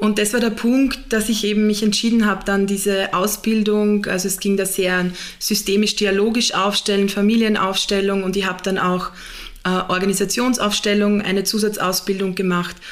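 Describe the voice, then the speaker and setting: Noticeable background noise sits behind a woman with a medium-pitched voice. She talks at a moderate pace in a flat monotone. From Austria, southern Burgenland. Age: 30s. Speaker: HR manager and systemic constellation facilitator. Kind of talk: interview.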